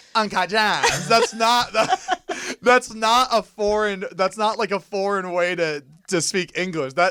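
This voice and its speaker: Using a raised, projected voice with an American accent, a man speaks at a high pitch and a fairly slow pace, with ordinary pitch variation and hardly any pauses. His tone is animated, bright and sharp, on a very clean recording with a silent background and a dry, close sound with no echo. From US South, Florida (Fort Lauderdale). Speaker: content creator. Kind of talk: casual chat.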